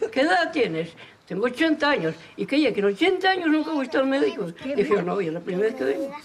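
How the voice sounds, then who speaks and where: Very fast speech over noticeable background noise. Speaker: retired farmer and mason, local villager. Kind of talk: casual interview.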